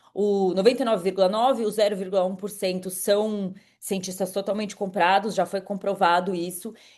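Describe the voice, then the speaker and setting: Against a quiet background, a woman talks at a medium pitch and a moderate pace in an animated tone. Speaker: climate podcast host. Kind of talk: monologue summary. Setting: live stream.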